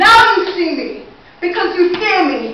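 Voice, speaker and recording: A raised, projected voice at a moderate pace, with audible room echo and noticeable background noise. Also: woman. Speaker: spoken word poet. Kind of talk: spoken word performance. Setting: stage with audience. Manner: loud.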